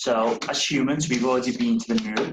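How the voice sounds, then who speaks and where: This man has a Liverpool accent. He talks at a fairly slow pace. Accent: Liverpool (Scouse). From northern England, Liverpool. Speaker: space company engineer. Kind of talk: school Q&A talk.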